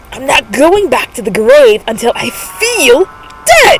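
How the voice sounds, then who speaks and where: A woman performs a put-on character voice. She delivers it at a fairly slow pace. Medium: read story. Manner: cheerful, stubborn.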